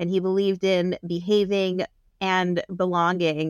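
On a very clean recording with a silent background and a dry, close sound with no echo, a woman with an ordinary speaking voice talks at a moderate pace and medium pitch. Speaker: rabbi. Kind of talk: casual interview.

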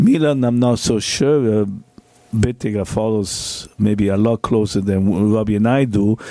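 A man with an ordinary speaking voice, fairly low pitch, fairly even intonation, very even loudness and a fairly slow pace. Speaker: former footballer. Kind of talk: casual chat. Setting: studio.

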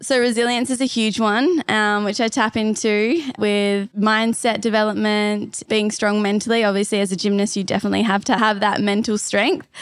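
A woman with an Australian accent talks with hardly any pauses. Her fairly high pitch carries a fairly even intonation. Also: moderate pace, very even loudness. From Perth, Western Australia. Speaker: pole vaulter and online fitness coach. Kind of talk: casual interview. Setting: live at a fitness retreat in Bali.

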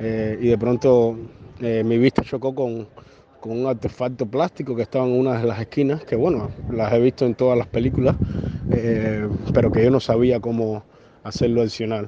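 A man with a medium pitch speaks at a moderate pace with fairly even intonation, and there is noticeable background noise. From Cuba. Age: 30s. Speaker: journalist. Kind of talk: interview. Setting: phone call. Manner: halting, many fillers and repetitions.

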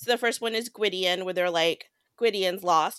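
A woman with a plain, everyday voice speaks at a moderate pace and a medium pitch, with ordinary pitch variation. The recording is very clean, with a silent background. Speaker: book podcast co-host. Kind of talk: casual chat.

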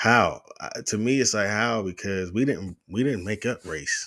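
A man with a plain, everyday voice, fairly low pitch and lively intonation, on a very clean recording with a silent background. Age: 30s. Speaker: podcast host. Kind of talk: casual monologue. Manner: casual, many filler words.

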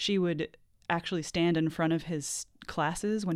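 In an American accent, a woman with a normal speaking voice talks at a moderate pace and fairly low pitch with fairly even intonation, on a very clean recording with a silent background. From Seattle. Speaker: novelist. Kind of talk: interview.

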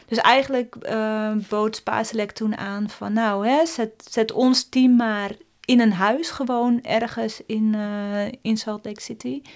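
Very slowly and with hardly any pauses, a woman speaks in a fairly high pitch with fairly even intonation. The recording is very clean, the background silent. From West-Friesland, Netherlands (Hoorn area). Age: 40s. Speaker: former Olympic speed skater. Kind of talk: casual interview.

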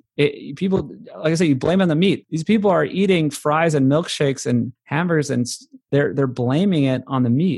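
A man with a normal speaking voice talks at a fairly quick pace, with a fairly high pitch, ordinary pitch variation and very even loudness. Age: 30s. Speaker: documentary filmmaker. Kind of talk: interview.

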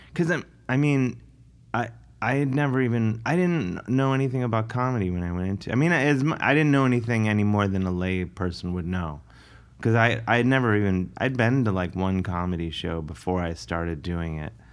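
A man with a plain, everyday voice, fairly low in pitch, talking at a fairly quick pace with lively intonation. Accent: American. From US Midwest, Cleveland, Ohio. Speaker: comedian and musician. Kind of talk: casual interview.

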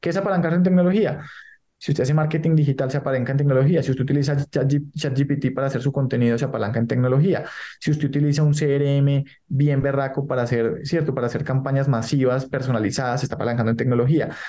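A man with a fairly high, somewhat breathy voice and a dark, mellow tone talks very fast with fairly even intonation. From Colombia. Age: 30s. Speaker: entrepreneur. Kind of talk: interview. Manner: halting, many repetitions.

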